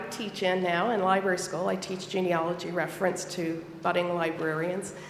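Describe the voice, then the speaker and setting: A woman with an American accent speaks at a medium pitch and moderate pace, with audible room echo and noticeable background noise. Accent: Southern twang, stronger after a trip home. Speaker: church elder and library school teacher. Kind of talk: sermon. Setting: church.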